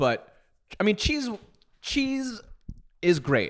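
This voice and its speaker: A man talks in an animated tone. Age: 30s. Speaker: podcast co-host. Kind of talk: casual chat.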